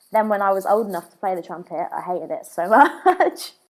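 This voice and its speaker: A woman of medium pitch speaks in a southern English accent. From England, Brighton. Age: 20s. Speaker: drummer. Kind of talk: casual chat.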